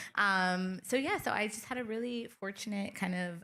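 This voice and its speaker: Her pitch variation is ordinary. The woman talks in an American accent. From Chicago, US Midwest. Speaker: film studio executive. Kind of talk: panel interview. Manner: hesitant fillers.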